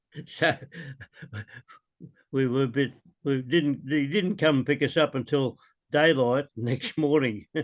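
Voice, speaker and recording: A man with an Australian accent, fairly high in pitch, at a fairly slow pace, with fairly even intonation, very even loudness and long, frequent pauses. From Melbourne, Australia. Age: 80s+. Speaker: war veteran. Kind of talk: interview answer.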